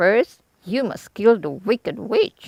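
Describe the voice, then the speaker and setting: This is a put-on character voice that sounds female, pitched fairly high for a woman. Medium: read story.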